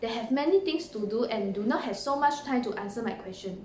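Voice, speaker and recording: A woman talks with a high pitch and very wide pitch swings. Audible room echo and noticeable background noise surround her voice. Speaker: university student. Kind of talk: recorded presentation.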